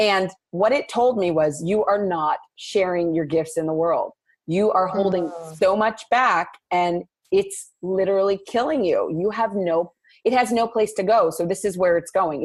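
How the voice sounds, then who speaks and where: Here a woman speaks with a General American accent in an ordinary speaking voice. Her pitch sits in the medium range. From Los Angeles. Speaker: playwright and jazz singer. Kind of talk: interview answer.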